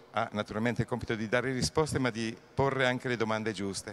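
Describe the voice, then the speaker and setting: With fairly even intonation, a man moves through his words at a fairly quick pace. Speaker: festival host and moderator. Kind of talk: formal introduction. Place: hall. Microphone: handheld.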